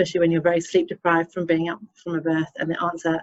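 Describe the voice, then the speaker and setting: With an English accent, a woman talks at a very fast pace, the sound dry and close with no echo. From England. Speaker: obstetrician. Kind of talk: webinar presentation.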